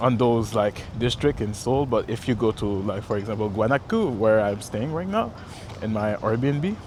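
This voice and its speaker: A man with a Quebec accent speaks at a medium pitch and a moderate pace. His pitch varies in an ordinary way. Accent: French Canadian accent in English. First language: French. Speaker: travel vlogger. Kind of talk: casual walk-and-talk vlog. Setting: outdoors walking by a river. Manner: halting, many fillers and self-corrections.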